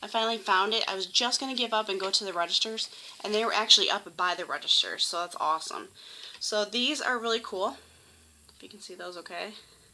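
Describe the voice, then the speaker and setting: Very fast and fairly high-pitched, a woman speaks with big swings in loudness over noticeable background noise. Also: ordinary pitch variation. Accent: American. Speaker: YouTuber doing shopping hauls. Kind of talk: casual vlog haul. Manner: chatty, many fillers (um).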